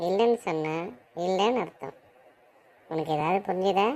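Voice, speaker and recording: Using a cartoonish character voice, a woman talks at a moderate pace at medium pitch with ordinary pitch variation. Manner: sly, teasing.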